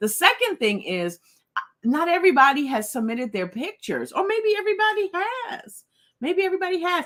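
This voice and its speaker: A woman speaks at a fairly quick pace in an animated tone. Her pitch is extremely high and swings very widely. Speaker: livestream host. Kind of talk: casual livestream chat.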